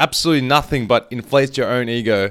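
A man with an Australian accent at medium pitch and moderate pace, on a very clean recording with a silent background. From Australia, Melbourne. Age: 20s. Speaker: movement coach. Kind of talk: casual chat.

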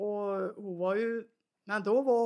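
A woman with a strong Värmland accent speaks at a medium pitch. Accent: strong Värmland accent, taken for Norwegian. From Värmland, Sweden (Svanskog). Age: 90s. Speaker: retired farm woman, mother. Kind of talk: casual conversation.

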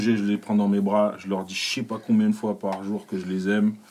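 With ordinary pitch variation, the speech proceeds at a moderate pace. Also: man. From France, Paris. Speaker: comedian. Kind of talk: casual chat. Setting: studio.

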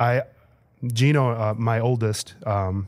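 In a Chicago accent, a man talks at a fairly low pitch with fairly even intonation. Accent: Chicago-area American. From Chicago area, Illinois. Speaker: assistant principal. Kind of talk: interview.

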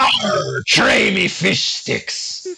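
A man performs in a put-on character voice. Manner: yelled, joking.

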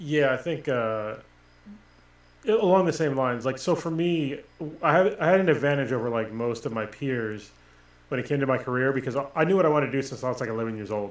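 Talking at a fairly quick pace, a man has a normal speaking voice and an American accent. His pitch is medium, and his intonation is lively. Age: 40s. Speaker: podcast co-host, Marine. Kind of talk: casual chat.

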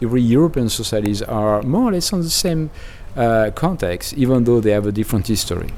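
Speaking very fast with a French accent, a man uses lively intonation, a medium pitch and a dark, mellow tone. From France. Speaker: demographer. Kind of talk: interview. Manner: halting.

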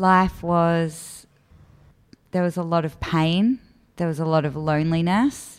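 With an Australian accent, a woman speaks at a fairly slow pace, leaving long, frequent pauses. Her voice is fairly low, with ordinary pitch variation. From Australia, Melbourne southeastern suburbs. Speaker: charity office worker, former drug user. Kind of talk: interview, personal story.

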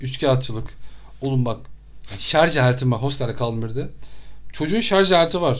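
A man talks at medium pitch and a moderate pace, his tone animated and his pitch variation ordinary. He leaves long, frequent pauses, and audible room echo surrounds him. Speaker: traveler. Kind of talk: casual chat. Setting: studio.

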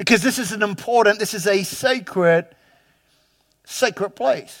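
Speaking with a New Zealand accent, a man uses lively intonation and a high pitch at a fairly slow pace. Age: 50s. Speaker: pastor. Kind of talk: sermon. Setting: church. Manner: halting.

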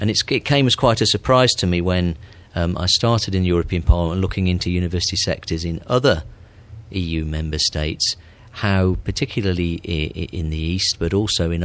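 Recorded very cleanly against a silent background, a man with a very deep, low pitch talks at a fairly quick pace with ordinary pitch variation. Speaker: politician. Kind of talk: interview.

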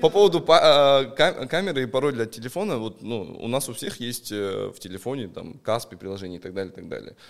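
Hardly pausing at all, a man talks with very wide pitch swings. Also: big swings in loudness. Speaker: investor and pawnshop owner. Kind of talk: casual chat.

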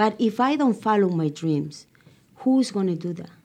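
Over a quiet background, a woman with a Spanish accent speaks in a dark, mellow tone at medium pitch with lively intonation. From Ecuador. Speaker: TV host and producer. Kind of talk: interview.

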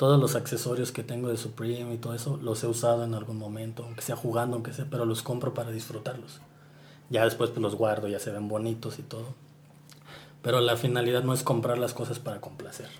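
Music plays in the background, and there is audible room echo. A man speaks at medium pitch with monotone, flat intonation. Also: fairly quick pace. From Mexico, Morelia (Michoacán). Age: 30s. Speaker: sneaker collector and Instagram personality. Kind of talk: casual interview. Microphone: poor sound quality.

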